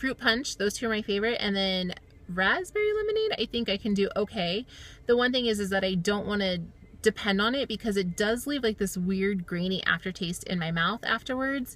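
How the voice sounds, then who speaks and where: Her pitch medium and its variation ordinary, a woman speaks at a fairly quick pace. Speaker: weight loss surgery vlogger. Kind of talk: personal video diary. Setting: in a car. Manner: fast.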